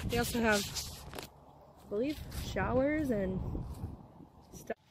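A woman speaks in a dry sound with no echo. Noticeable background noise runs underneath. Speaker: vlogger. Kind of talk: casual vlog chat. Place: open country. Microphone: phone near.

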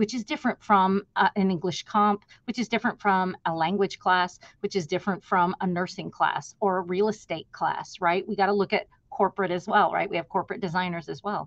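A woman at a fairly quick pace with hardly any pauses and fairly even intonation, against a quiet background. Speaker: instructional designer, webinar presenter. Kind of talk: conversational professional presentation. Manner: fast talker. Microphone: webcam.

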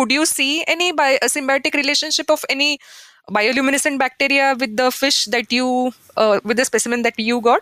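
A woman speaks in a raised, projected voice with a high pitch, ordinary pitch variation and very even loudness. Her pace is moderate, and the sound is dry and close with no echo. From India. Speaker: podcast host, postdoctoral researcher. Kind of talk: interview.

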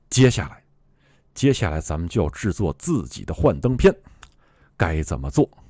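A man with a very deep, low pitch and vocal fry speaks at a moderate pace with long, frequent pauses. His loudness swings widely and his pitch swings very widely, on a very clean recording with a silent background. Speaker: tech video creator. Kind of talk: tutorial. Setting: screen-recorded video. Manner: friendly, conversational.

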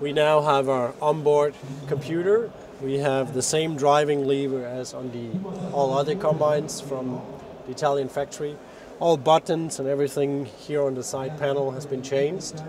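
Over noticeable background noise, a man talks at a moderate pace with fairly even intonation, the sound dry with no echo. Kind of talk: product presentation. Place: hall. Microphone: lapel.

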